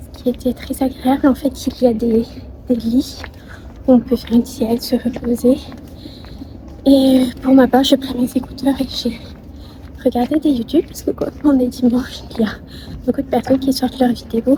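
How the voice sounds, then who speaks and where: A woman's high voice, monotone and flat, with long, frequent pauses, big swings in loudness and noticeable background noise. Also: moderate pace. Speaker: vlogger. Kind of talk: casual vlog narration.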